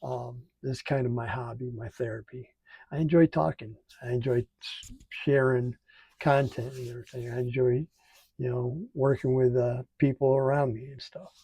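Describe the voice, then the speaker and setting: This man speaks at medium pitch and a moderate pace with a dark, mellow, somewhat breathy tone, fairly even intonation and big swings in loudness, in a dry, close sound with no echo. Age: 60s. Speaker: military veteran and channel host. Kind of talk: casual vlog monologue. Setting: home studio. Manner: halting, many fillers.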